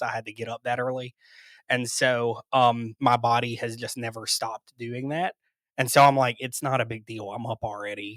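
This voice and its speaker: A man with an American accent talks at a fairly quick pace in a medium pitch, his intonation flat and monotone and his tone bright and sharp. The recording is very clean and dry, close with no echo and a silent background. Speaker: video production company owner. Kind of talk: podcast interview.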